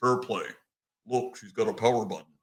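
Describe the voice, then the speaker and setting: Here a man performs a put-on character voice at a medium pitch. He talks at a fairly quick pace. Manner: joking, teasing.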